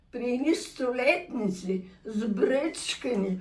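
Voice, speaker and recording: A woman's high-pitched voice, very slow, with very wide pitch swings and audible room echo. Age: 80s+. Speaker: centenarian interviewee. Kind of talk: casual chat.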